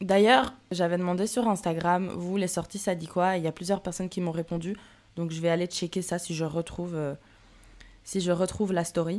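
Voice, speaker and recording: A woman's fairly low voice, fairly even in intonation, a plain, everyday voice. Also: moderate pace, very clean recording, silent background. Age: 20s. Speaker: solo podcaster. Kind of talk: personal monologue. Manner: casual; laughs often.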